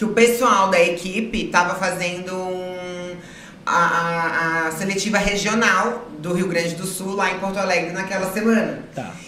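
Noticeable background noise behind a woman, her pitch varying in an ordinary way. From southern Brazil, Florianópolis. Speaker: model and former reality TV contestant. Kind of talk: casual interview chat.

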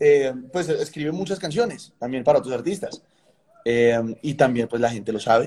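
Using an unremarkable speaking voice, a man talks at a moderate pace in a fairly high pitch with lively intonation. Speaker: songwriter and music producer. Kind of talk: interview conversation.

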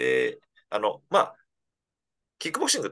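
This man talks. His pace is very fast. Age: 40s. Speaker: former kickboxing champion. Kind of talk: casual interview. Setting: online call.

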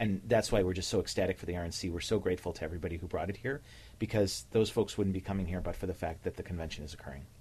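A man talks at a very fast pace. His very deep, low voice is somewhat breathy. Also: ordinary pitch variation. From Cleveland, Ohio. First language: Slovenian (bilingual). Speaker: nonprofit leader, former city official. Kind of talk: radio interview. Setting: radio studio.

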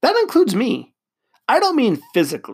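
A man speaks in an animated tone. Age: 40s. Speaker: podcast host. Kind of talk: casual monologue.

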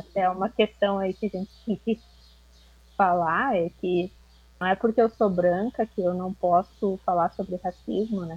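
A woman speaks in a plain, everyday voice at a medium pitch. Her pace is fairly slow. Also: fairly even intonation, dry, close sound with no echo. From Rio Grande do Sul, southern Brazil. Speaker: master's student. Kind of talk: casual discussion.

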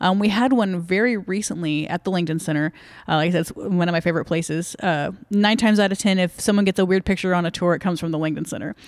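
In a Texan accent, a woman with a fairly low pitch races along at a very fast pace, with ordinary pitch variation and hardly any pauses. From Dallas-Fort Worth, Texas. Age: young. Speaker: ghost tour guide. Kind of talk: casual interview.

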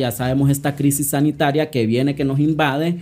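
A man's voice has a dark, mellow tone. His pitch is fairly high. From Honduras, San Pedro Sula. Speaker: activist and social psychologist. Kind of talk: interview conversation.

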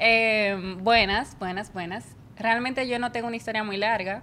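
Her tone bright and sharp, a woman speaks at a moderate pace and a fairly high pitch in a monotone, flat intonation. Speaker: podcast co-host, multimedia student. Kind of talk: casual chat.

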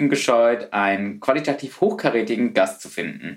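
Against noticeable background noise, a man's voice shows very wide pitch swings. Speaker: podcast host. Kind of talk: scripted intro; casual interview.

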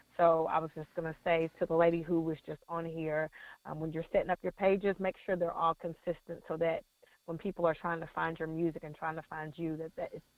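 A woman speaks at a fairly quick pace in a fairly low, monotone, flat voice. Her loudness swings widely, and the sound is dry and close with no echo. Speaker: gospel artist. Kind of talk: call-in radio discussion. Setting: phone call. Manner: passionate.

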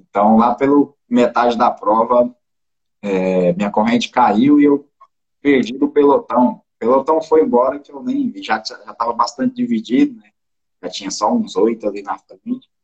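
A man's loudness rises and falls sharply as he talks at a moderate pace. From Brazil, interior of Goiás. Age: 20s. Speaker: mountain bike athlete. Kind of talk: casual interview.

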